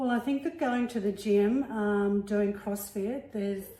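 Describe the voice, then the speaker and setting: Against noticeable background noise, a woman with an Australian accent talks at a moderate pace, at medium pitch with ordinary pitch variation. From Melbourne, Australia. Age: 60s. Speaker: retiree and CrossFit athlete. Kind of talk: casual interview.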